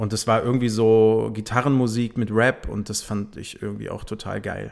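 Over a very clean recording with a silent background, a man talks at a moderate pace in a fairly low pitch. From northern Germany, Bremen. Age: 30s. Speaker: music label manager. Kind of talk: casual chat.

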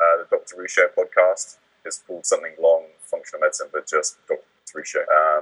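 At a fairly quick pace, a man speaks at an extremely high pitch with fairly even intonation and big swings in loudness, in a dry, close sound with no echo. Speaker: doctor and nutrition expert. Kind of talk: casual chat. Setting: video call. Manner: fast.

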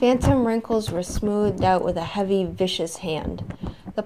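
Ordinary pitch variation in plain reading aloud

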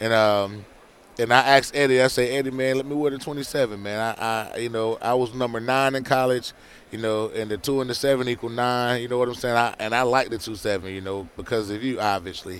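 An ordinary speaking voice, a man at medium pitch talking at a fairly quick pace with fairly even intonation. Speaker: former NFL player. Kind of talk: casual interview. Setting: radio row event.

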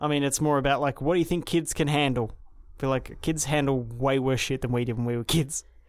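A very fast man with an Australian accent, fairly high pitch and very even loudness. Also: fairly even intonation, very clean recording, silent background. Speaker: podcast co-host. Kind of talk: casual chat.

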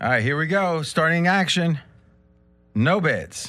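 Music plays in the background as the talking proceeds fairly slowly. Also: man. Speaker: sports betting show host. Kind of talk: casual roundtable chat. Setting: studio. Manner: animated, laughs often.

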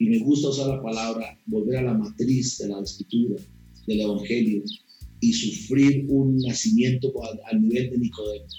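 Over background music, a man with a Costa Rican accent speaks at medium pitch and a moderate pace, his pitch varying in an ordinary way. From Costa Rica, rural Alajuela near Poás. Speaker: pastor. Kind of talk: interview.

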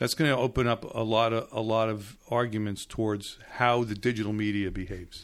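An unremarkable speaking voice at a moderate pace with fairly even intonation, on a very clean recording with a silent background. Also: man. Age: 60s. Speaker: news columnist and novelist. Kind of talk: interview. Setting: studio.

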